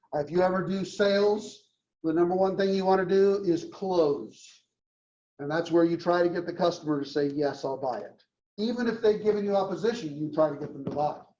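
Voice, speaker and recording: A man speaks at a fairly quick pace in a high pitch, his dark, mellow tone carrying ordinary pitch variation over audible room echo. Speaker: university marketing lecturer. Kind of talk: lecture.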